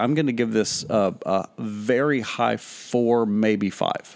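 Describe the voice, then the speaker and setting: Pitched at a medium level, a man's voice shows ordinary pitch variation. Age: 30s. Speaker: podcast co-host. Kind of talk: casual chat. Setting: back porch, outdoors.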